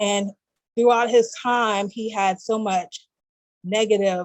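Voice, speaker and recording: A woman with an American accent, medium pitch and a flat, monotone delivery. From US South. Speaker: guest, graduate student. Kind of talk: interview.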